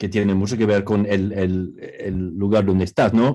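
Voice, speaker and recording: In an English accent, a man speaks at a moderate pace with a fairly low pitch and a dark, mellow tone. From New York, US. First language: English (speaking Spanish). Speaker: academic, book co-author. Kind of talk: panel discussion. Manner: halting.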